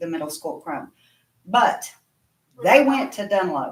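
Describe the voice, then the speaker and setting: A woman speaks at a fairly slow pace in an Appalachian accent. Her medium-pitched voice has lively intonation. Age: 60s. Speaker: parent speaking at public comment. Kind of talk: public comment at board meeting.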